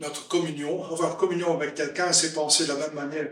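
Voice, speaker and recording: A fairly high-pitched man's voice with a Flemish accent and audible room echo. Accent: Flemish-accented French, front-rolled R. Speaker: preacher. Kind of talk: sermon. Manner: halting.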